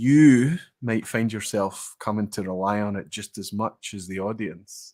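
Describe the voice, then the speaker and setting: Very clean recording with a silent background, a man with a Scottish accent at a fairly low pitch. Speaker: whisky streamer. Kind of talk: casual chat.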